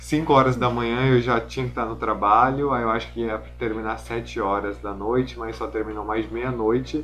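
There is audible room echo and noticeable background noise as a man talks. He keeps a moderate pace with hardly any pauses. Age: 20s. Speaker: fashion model and student. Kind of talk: casual interview.

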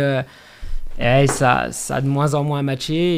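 Speaking at a moderate pace, a man with a fairly high pitch has a plain, everyday voice. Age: 30s. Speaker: trail runner and running coach. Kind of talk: casual interview. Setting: recorded on location at an athletics club.

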